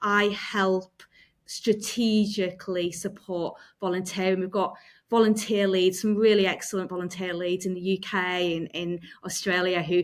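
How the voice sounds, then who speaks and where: A woman with a Yorkshire accent speaks at a medium pitch and a moderate pace, with fairly even intonation. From Yorkshire, England. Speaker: volunteering manager at a running organisation. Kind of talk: interview.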